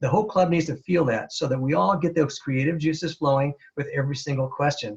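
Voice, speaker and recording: Speaking at a fairly quick pace, a man with a fairly high pitch sounds somewhat breathy and uses ordinary pitch variation. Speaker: Toastmasters speaker and presenter. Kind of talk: webinar presentation. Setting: webinar. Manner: fast.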